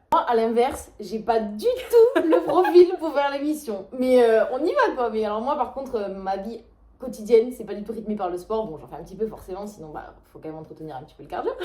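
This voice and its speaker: A woman speaks at a fairly quick pace with a slight Toulouse accent. Her pitch swings very widely and her loudness swings greatly, with noticeable background noise behind her. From Toulouse, France. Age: 20s. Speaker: pastry chef. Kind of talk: casual talk to camera, casting video.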